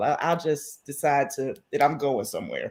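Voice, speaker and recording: A loud, animated woman at a moderate pace in a very clean recording with a silent background. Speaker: podcast host. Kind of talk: casual chat.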